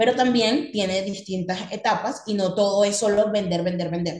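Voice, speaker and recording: With audible room echo around her, a woman speaks fairly quickly at a medium pitch in a somewhat breathy voice. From Venezuela. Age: 20s. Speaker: copywriter and digital marketer. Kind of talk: podcast interview.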